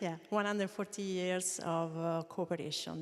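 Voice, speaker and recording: A woman's fairly low voice with an Italian accent, at a moderate pace and with fairly even intonation. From Italy. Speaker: co-operative federation manager. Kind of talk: panel discussion. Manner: halting.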